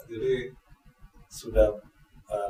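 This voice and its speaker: This is a man speaking with a Javanese accent. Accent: Javanese-sounding Indonesian. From East Java, Malang. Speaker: electricity company manager. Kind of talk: podcast interview. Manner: hesitant with frequent fillers.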